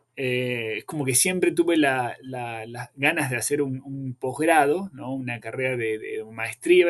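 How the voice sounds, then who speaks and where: A man speaks with an Argentine accent. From Argentina, rural Buenos Aires province near Bahía Blanca. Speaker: veterinary professor. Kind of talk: podcast interview. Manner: hesitant, many fillers.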